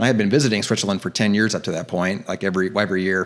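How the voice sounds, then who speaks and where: A man with an American accent speaks at a fairly low pitch with ordinary pitch variation, in a very clean recording with a silent background. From US Midwest, Cincinnati, Ohio. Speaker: actor and director. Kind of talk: podcast interview. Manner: casual, animated storytelling.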